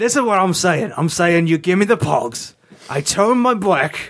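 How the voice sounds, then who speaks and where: A man with a high-pitched voice speaks at a moderate pace, his intonation lively and his loudness very even. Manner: gruff, sardonic, grudging.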